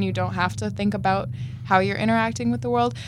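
A woman's pitch swings very widely as she talks. Audible room echo and noticeable background noise fill the recording. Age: 20s. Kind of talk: casual chat. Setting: studio.

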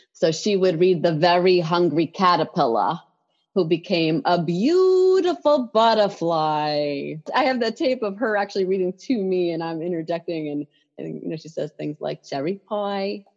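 With an American accent and lively intonation, a woman speaks in an ordinary speaking voice at a fairly low pitch over a quiet background. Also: moderate pace. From New York City. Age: 40s. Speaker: professor and children's author. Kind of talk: guided meditation; interview. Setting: video call.

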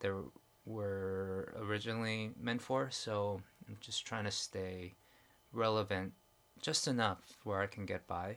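A man's fairly low voice, fairly slow and fairly even in intonation, in a very clean recording with a silent background. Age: 40s. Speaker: podcast co-host, filmmaker. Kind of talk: casual chat.

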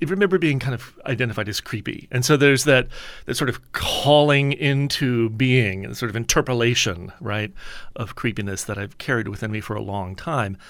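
A man with an American accent and an unremarkable speaking voice talks at a moderate pace and medium pitch with ordinary pitch variation, in a very clean recording with a silent background. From US Deep South, New Orleans. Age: 50s. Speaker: author and professor. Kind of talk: interview. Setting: studio.

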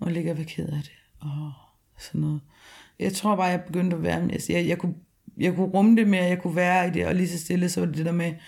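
Very fast speech delivered in a flat, monotone intonation. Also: woman, fairly low pitch for a woman. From rural Denmark. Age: 30s. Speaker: interviewee, former heavy drinker. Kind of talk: personal testimony. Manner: halting.

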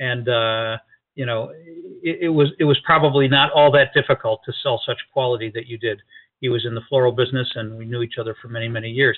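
Speaking at a fairly quick pace, a man uses an ordinary speaking voice at a medium pitch. His loudness swings widely. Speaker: radio talk show host. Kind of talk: radio dj patter. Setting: studio, live radio broadcast with phone-ins. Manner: upbeat, polished broadcaster delivery.

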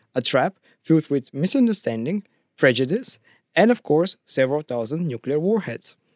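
Speaking at a moderate pace with a Bulgarian accent, a man uses a fairly high pitch and very wide pitch swings. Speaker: student podcast host. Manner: halting, with many fillers.

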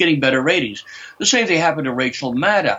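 A man's voice shows vocal fry and lively intonation. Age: 70s. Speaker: scholar and commentator. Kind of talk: interview discussion, opinionated commentary. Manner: formal, sardonic.

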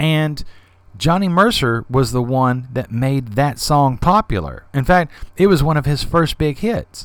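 A man with an American accent speaks in a normal speaking voice at a fairly high pitch. His pace is fairly slow and his intonation lively. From US South. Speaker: podcast host. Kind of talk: solo podcast monologue. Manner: casual, conversational.

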